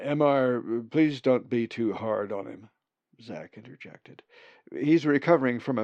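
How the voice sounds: In a natural reading voice with ordinary pitch variation, the speaker reads over a quiet background.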